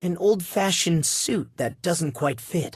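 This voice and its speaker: Putting on a character voice, a man speaks at a fairly slow pace in a high pitch with lively intonation. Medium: video game. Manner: observant, cutting.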